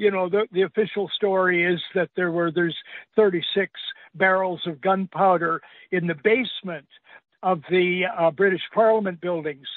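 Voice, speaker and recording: At a moderate pace, a man speaks in a high voice with fairly even intonation. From Canadian Maritimes. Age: 80s+. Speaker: veteran journalist. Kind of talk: radio interview. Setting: phone call.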